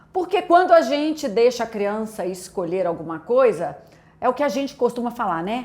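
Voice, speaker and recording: A woman talks with a Minas Gerais accent. Her pace is moderate. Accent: mineiro (Minas Gerais). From Brazil, Minas Gerais (Belo Horizonte). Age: adult, a mother. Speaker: pastor. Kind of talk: testimony.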